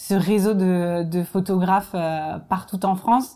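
In a very clean recording with a silent background, a woman talks at a fairly slow pace in a medium pitch, her intonation monotone and flat. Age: 30s. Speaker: production director. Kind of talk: interview testimony.

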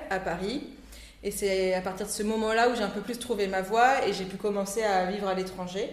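Over noticeable background noise, the voice holds a fairly even intonation at a moderate pace. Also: woman. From Réunion (Saint-Denis), from age 8. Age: 20s. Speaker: entrepreneur, shop owner. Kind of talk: casual interview. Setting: at her shop.

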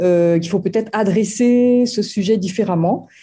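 A woman speaks at a medium pitch, somewhat breathy, with a dark, mellow tone and lively intonation. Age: 50s. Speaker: former program participant. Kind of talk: testimony. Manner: halting, many hesitations.

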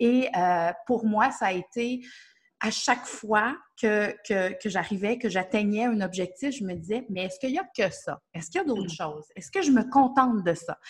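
With a Quebec accent, a woman speaks in a fairly high, somewhat breathy voice. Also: lively intonation, moderate pace. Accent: Québécois. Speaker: nutrition therapist and coach. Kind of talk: interview.

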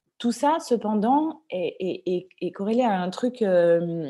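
A woman's medium-pitched voice, dark and mellow in tone, at a very slow pace. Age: 30s. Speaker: entrepreneur, former film industry worker. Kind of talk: interview. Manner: halting.

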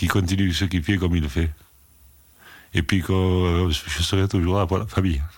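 A man's very deep, low pitch at a moderate pace, with long, frequent pauses, fairly even intonation and very even loudness, on a very clean recording with a silent background. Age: 70s. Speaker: retired winegrower. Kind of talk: interview testimony. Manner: halting.

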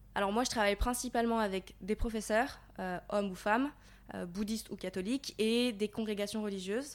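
A plain, everyday voice from a woman, fairly high and fairly quick with fairly even intonation, in a very clean recording with a silent background. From Paris region, France. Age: 20s. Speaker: volunteer aid worker. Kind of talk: interview. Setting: on location in Thailand.

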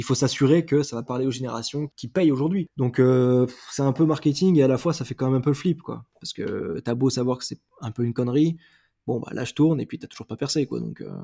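The man's medium-pitched voice shows ordinary pitch variation in a dry, close sound with no echo. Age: 30s. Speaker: musician and multi-disciplinary creative. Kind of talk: casual interview. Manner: animated.

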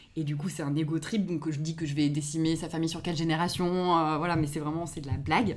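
The woman's voice has a very deep, low pitch. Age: 30s. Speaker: podcast creator, audiovisual production worker. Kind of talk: casual interview chat.

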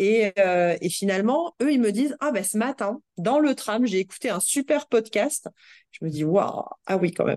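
A woman's medium-pitched voice with lively intonation at a moderate pace, a dry, close sound with no echo and a quiet background. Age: 30s. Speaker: HR director. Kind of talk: interview. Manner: halting, many fillers and repetitions.

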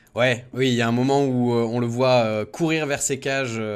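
A normal speaking voice from a man, medium in pitch with ordinary pitch variation, at a fairly slow pace on a very clean recording with a silent background. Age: 20s. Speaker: radio host, football supporters' show. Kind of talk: casual chat.

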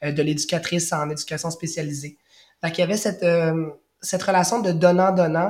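Speaking at a fairly quick pace, a man holds a monotone, flat intonation at a high pitch. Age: 30s. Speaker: primary school teacher. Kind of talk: testimony.

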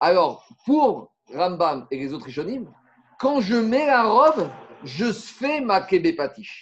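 A man's high-pitched voice with very wide pitch swings, delivered at a very slow pace. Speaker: Talmud teacher. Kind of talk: lecture.

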